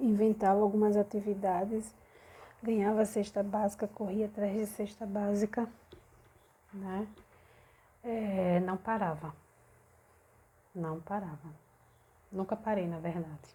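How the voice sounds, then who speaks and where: Soft-spoken and somewhat breathy, a woman with a dark, mellow tone speaks at a fairly slow pace with fairly even intonation and long, frequent pauses. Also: medium pitch for a woman. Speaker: belly dance teacher and vlogger. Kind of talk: personal vlog, venting. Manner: soft-spoken, speaking quietly.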